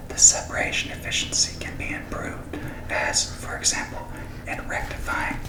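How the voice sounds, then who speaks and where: A man is whispering. There is noticeable noise in the background. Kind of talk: ASMR reading for sleep. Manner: whispered, soft.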